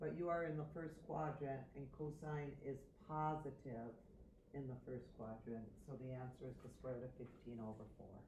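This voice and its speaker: A woman speaks at a very deep, low pitch with ordinary pitch variation. Audible room echo and noticeable background noise surround her voice. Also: moderate pace. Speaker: math teacher. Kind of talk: tutorial.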